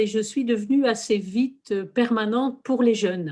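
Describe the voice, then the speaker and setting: Her voice sits at a fairly high pitch for a woman, moving at a moderate pace with ordinary pitch variation. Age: 60s. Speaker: lay religious community worker. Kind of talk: testimony. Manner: hesitant, with fillers.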